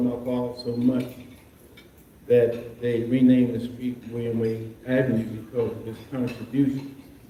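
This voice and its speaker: A man with an American accent, medium-pitched, at a moderate pace, with noticeable background noise and audible room echo. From Maryland, Baltimore County. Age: 70s. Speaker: physician. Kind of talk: impromptu remarks at a luncheon. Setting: luncheon with audience. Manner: hesitant, with many fillers.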